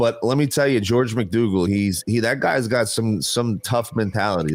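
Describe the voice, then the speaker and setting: A man's animated, fairly quick delivery in a New Jersey accent. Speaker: podcast co-host. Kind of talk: casual chat.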